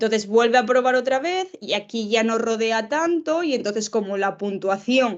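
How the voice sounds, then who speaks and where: A woman with a normal speaking voice and fairly high pitch talks at a moderate pace against a quiet background. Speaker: professor, lecturer. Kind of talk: lecture.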